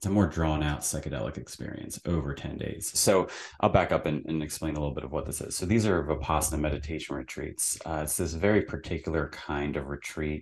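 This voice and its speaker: Very deep, low male voice with vocal fry at a very fast pace over a quiet background. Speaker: podcast guest. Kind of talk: interview answer. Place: home room. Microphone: studio mic.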